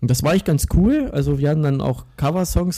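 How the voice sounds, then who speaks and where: This man speaks at a very fast pace, his voice somewhat breathy with a dark, mellow tone. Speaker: metal guitarist. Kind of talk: casual interview.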